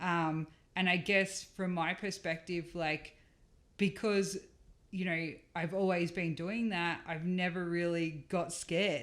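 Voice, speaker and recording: A woman with an Australian accent speaks very slowly at a fairly low pitch in a flat monotone. The recording is very clean, with a silent background. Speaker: rally co-driver. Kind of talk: casual interview chat.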